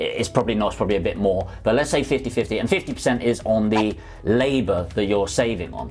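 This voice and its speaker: Someone with a London accent talks at a fairly quick pace over noticeable background noise. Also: man. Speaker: property investor YouTuber. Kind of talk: casual explainer vlog. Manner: conversational.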